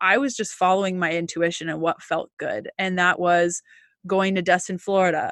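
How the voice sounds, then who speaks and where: With a Canadian accent and a plain, everyday voice, a woman speaks at a medium pitch and moderate pace in a dry, close sound with no echo against a quiet background. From Canada. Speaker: holistic nutritionist and intuitive healer. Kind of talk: interview conversation.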